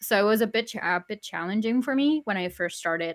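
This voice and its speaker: A woman speaks with a Spanish accent in a bright, sharp tone. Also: very clean recording, silent background. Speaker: YouTuber, podcast guest. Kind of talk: casual chat.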